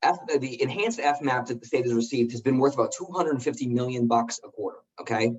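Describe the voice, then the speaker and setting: The speaker is a man with a medium pitch. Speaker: policy analyst. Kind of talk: member briefing call. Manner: fast.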